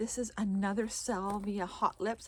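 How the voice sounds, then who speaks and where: At a fairly slow pace, a woman talks in an ordinary speaking voice at a medium pitch. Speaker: gardener. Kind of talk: garden tour walkthrough. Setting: outdoors in garden. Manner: casual, self-correcting.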